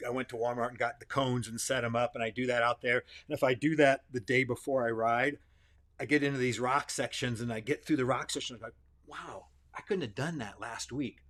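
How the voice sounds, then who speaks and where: A man with a plain, everyday voice talks at a fairly quick pace in a medium pitch, his intonation fairly even. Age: 60s. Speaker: personal trainer. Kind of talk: casual chat.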